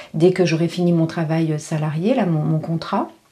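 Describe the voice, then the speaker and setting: The woman's pitch sits fairly low, and she talks at a moderate pace. Her intonation is fairly even. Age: 50s. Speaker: life coach and vlogger. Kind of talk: casual vlog monologue. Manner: halting, many fillers.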